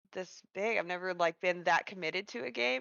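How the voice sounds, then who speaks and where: A woman speaks in a Kansas accent at a moderate pace. Her voice has vocal fry. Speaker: streamer and tabletop game player. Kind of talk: casual chat. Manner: halting, many fillers.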